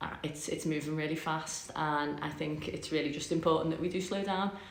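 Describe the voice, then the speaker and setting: A woman with a Liverpool accent and a very deep, low pitch. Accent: Scouse. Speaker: podcast host. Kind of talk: casual talk to camera. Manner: chatty, rambling.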